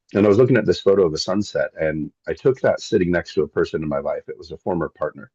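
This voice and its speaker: The voice carries a Pacific Northwest accent, with a dry, close sound and no echo. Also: man. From Seattle, Washington State, US. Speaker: landscape photographer and wilderness tour guide. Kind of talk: casual interview.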